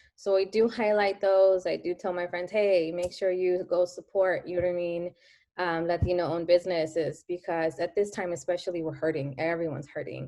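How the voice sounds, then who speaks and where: A woman with a Spanish accent talks at a fairly quick pace in a fairly low pitch, her dark, mellow tone carried on fairly even intonation. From US, early childhood in Mexico. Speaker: daycare owner. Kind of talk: casual interview chat.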